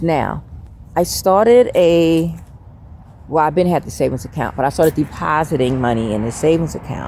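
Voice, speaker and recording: A woman with a very deep, low pitch and vocal fry speaks at a moderate pace in a dark, mellow tone with lively intonation. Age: 50s. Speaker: faith vlogger. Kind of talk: casual talk to camera.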